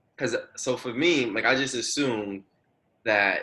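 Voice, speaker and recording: This man speaks at a moderate pace in a medium pitch, with a bright, sharp tone. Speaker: podcast host. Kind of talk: interview. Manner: stuttering.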